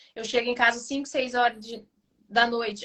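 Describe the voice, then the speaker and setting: This woman's voice is high-pitched. She talks at a moderate pace. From Brazil. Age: 30s. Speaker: house cleaner. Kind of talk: casual chat.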